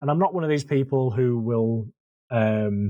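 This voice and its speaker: In a Yorkshire accent, a man speaks at a medium pitch with a dark, mellow tone, the sound dry and close with no echo. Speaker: marine conservation volunteer coordinator. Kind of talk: casual podcast interview. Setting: podcast.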